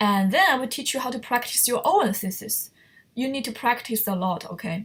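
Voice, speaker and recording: A woman with a fairly high pitch talks at a moderate pace, her pitch varying in an ordinary way. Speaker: online writing teacher. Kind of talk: lecture.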